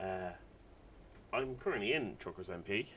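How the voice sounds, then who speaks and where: A man with an Irish accent speaks at a moderate pace in a very deep, low pitch. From Ireland. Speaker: gaming video creator. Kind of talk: gameplay commentary. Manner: casual, rambling with fillers.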